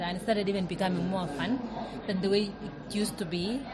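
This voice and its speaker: A woman's medium-pitched voice with ordinary pitch variation, amid noticeable background noise and audible room echo. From Kenya. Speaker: elite distance runner. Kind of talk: interview. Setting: restaurant, recorded live.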